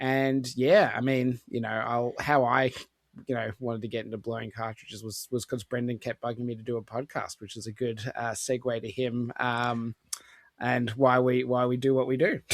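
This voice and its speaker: Recorded dry and close with no echo, a man with an Australian accent talks at a moderate pace, his medium-pitched voice flat and monotone. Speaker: gaming podcaster. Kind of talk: casual chat.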